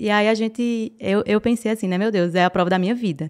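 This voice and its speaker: Recorded very cleanly against a silent background, a woman with a Paraíba accent talks at a moderate pace, her medium pitch rising and falling in an ordinary way. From Northeast Brazil, Paraíba (João Pessoa). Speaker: entrepreneur. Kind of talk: podcast interview.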